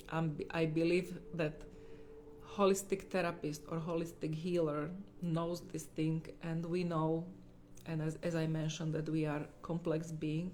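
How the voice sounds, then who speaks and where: A woman with a non-native accent speaks at a fairly slow pace in a fairly low, dark, mellow tone. Her intonation is monotone and flat, with audible room echo. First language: not English. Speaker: holistic healer. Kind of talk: livestream talk. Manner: halting.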